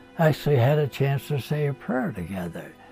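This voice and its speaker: A man with a fairly high pitch speaks over music in the background. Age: 80s+. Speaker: war veteran. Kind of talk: interview answer. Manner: hesitant, halting.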